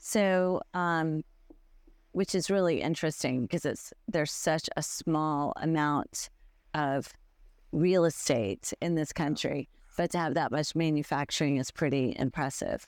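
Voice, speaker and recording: Talking at a fairly slow pace, a woman has a very deep, low pitch, heard in a very clean recording with a silent background. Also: ordinary pitch variation. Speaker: lawyer interviewer. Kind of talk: interview. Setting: outdoors by castle, cold and rainy.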